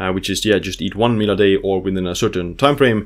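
A man speaks with an Estonian accent at a fairly low pitch. The background is quiet. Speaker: health author and biohacker YouTuber; biohacker YouTuber. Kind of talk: educational video lecture. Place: home room.

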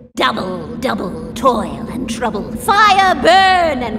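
A put-on character voice that sounds female speaks at a very slow pace over loud background noise. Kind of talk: Halloween prop voice lines. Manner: menacing.

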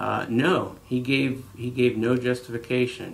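Light background noise behind a man talking. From Jackson Township, Ohio, US Midwest; Ohio. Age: 40s. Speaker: local political candidate; candidate. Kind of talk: interview. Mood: earnest, critical. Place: office.

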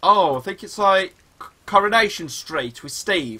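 A man speaks fairly slowly in a raised, projected voice that is high-pitched, bright and sharp. His pitch swings very widely. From West Midlands. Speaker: gaming streamer. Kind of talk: live gameplay stream chat. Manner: animated. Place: home room.

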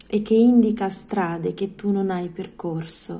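A woman's somewhat breathy, dark, mellow voice at a medium pitch, with fairly even intonation and a very slow pace. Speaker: poetry reader. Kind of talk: poetry reading aloud. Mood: calm, expressive, intimate. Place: home room. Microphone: phone near.

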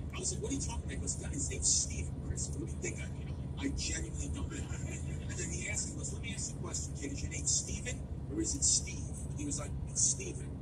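Over music in the background, a woman talks at a very fast pace. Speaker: driver or passenger vlogger. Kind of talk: casual storytelling chat. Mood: amused, joking anecdote. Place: car. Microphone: phone near.

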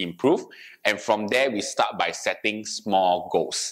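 Quiet background, a man's fairly low voice, ordinary pitch variation and a moderate pace. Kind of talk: bilingual presentation to seniors. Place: studio. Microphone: lapel.

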